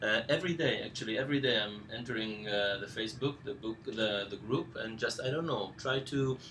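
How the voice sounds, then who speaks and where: A man with a non-native accent talks at medium pitch and a fairly quick pace, with hardly any pauses. Background noise is noticeable. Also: ordinary pitch variation. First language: not English. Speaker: course instructor. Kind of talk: live Q&A session. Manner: halting, many fillers.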